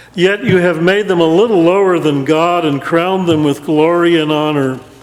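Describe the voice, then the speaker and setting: Over noticeable background noise, a man speaks in a high voice at a moderate pace, with fairly even intonation and very even loudness. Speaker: interim pastor. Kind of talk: sermon delivered to a congregation.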